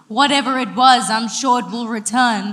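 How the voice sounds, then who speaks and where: A put-on character voice with a fairly high pitch at a moderate pace. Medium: stage play. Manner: panicky.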